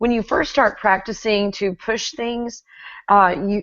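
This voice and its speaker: Speaking with an American accent, a woman with a fairly high pitch uses fairly even intonation in an unremarkable speaking voice. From Texas. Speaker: YouTube host. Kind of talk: interview.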